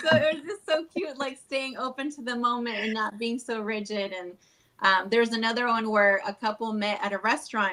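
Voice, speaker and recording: Speaking with a Spanish accent at a fairly quick pace, a woman uses a fairly high pitch, ordinary pitch variation, and a bright, sharp tone. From Chile. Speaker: wedding officiant. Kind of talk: podcast interview. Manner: casual, filler-heavy.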